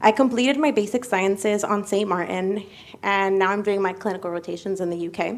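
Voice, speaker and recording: A woman with an American accent and a plain, everyday voice, at medium pitch with ordinary pitch variation and a fairly quick pace. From United States. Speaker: medical student. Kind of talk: speech. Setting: ceremony.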